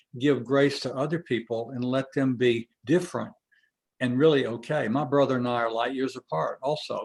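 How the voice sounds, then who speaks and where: This man has a medium pitch with ordinary pitch variation. He talks at a moderate pace. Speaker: webinar host. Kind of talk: webinar discussion. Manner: loud; expressive.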